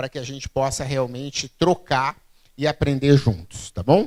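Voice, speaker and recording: A man at a moderate pace, his fairly high pitch showing ordinary pitch variation. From southern Brazil, Rio Grande do Sul (Santa Maria). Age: 40s. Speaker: keynote speaker, innovation expert. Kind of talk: public talk. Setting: stage with audience. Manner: conversational, frequent fillers.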